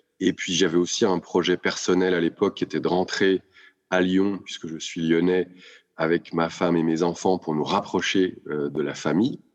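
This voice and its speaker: A man's very deep, low voice at a moderate pace, in monotone, flat intonation. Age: 50s. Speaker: business executive. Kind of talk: interview.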